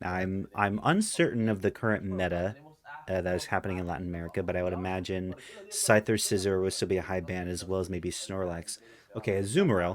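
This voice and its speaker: A man rattles along at a very fast pace in a very deep, low voice with monotone, flat intonation. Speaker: esports shoutcaster. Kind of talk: live game commentary.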